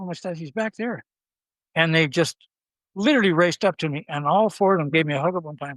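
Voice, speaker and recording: A high-pitched man with a Canadian accent, lively intonation and a very fast pace, on a very clean recording against a silent background. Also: dry, close sound with no echo. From Ontario, Canada. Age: 70s. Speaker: philanthropist. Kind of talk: interview.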